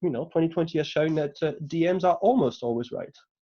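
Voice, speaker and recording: A man with a French accent, a very fast pace and ordinary pitch variation. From France. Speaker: delivery manager, lightning talk speaker. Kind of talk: conference talk. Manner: hesitant, many fillers.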